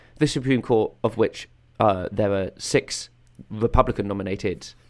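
In an English accent, a man with a fairly low pitch speaks at a moderate pace, recorded very cleanly against a silent background. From England. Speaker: political podcast co-host. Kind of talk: casual chat.

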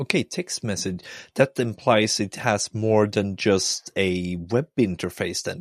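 A man with a Swedish accent speaks fairly slowly at a fairly low pitch, with ordinary pitch variation. The recording is very clean, dry and close, with a silent background and no echo. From Sweden, countryside. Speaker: podcast host. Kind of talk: casual interview.

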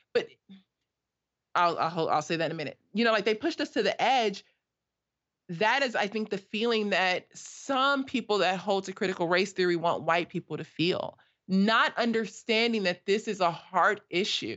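A plain, everyday voice from a woman, medium-pitched, moderately paced and lively in intonation. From US West Coast, South Los Angeles. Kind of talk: casual chat.

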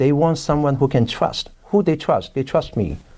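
In a Hong Kong accent, a man speaks at a moderate pace with a dark, mellow tone and ordinary pitch variation. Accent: Hong Kong Cantonese. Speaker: real estate broker. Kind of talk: interview.

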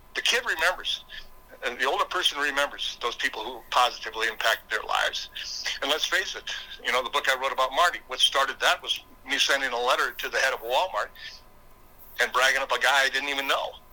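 A man with an Upper Midwest US accent speaks at a very fast pace. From South Dakota. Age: 60s. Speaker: motivational speaker and former state legislator. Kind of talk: interview conversation. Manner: halting, repeats words.

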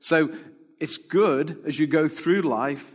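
A man talks at a fairly slow pace in an ordinary speaking voice, with fairly even intonation. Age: 50s. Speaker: pastor and church planter. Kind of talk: sermon.

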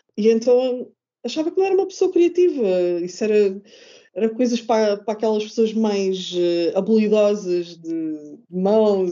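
Speech at a moderate pace with very wide pitch swings. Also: woman, fairly high pitch for a woman. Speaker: craft podcaster and blogger. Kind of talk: casual interview chat. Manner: halting, repeats words.

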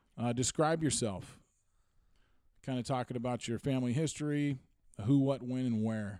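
This man speaks with an American accent at a moderate pace, in a medium pitch with a dark, mellow tone. His intonation stays fairly even, and he leaves long, frequent pauses. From Washington State, US Pacific Northwest. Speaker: podcast host and producer. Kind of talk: casual chat.

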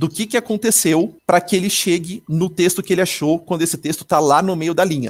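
With ordinary pitch variation, a man's high voice moves at a fairly quick pace. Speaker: podcast host on assistive technology. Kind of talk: casual tech podcast with demonstrations.

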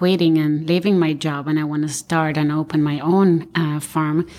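A woman's fairly low, monotone, flat voice in a very clean recording with a silent background. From Argentina. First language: Spanish. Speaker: architect and firm owner. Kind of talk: roundtable discussion.

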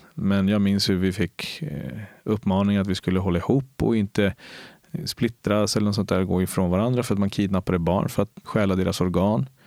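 A man with a Spanish accent, fairly low pitch, moderate pace, and very even loudness, in a dry, close sound with no echo on a very clean recording with a silent background. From Colombia, moved to Sweden at nine. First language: Spanish (speaking Swedish). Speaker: police officer. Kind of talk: interview. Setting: recorded at a cultural centre. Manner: animated.

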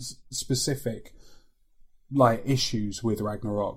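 A man with a slight London accent talks at a fairly slow pace, sounding somewhat breathy. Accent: London creeping in. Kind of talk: casual chat.

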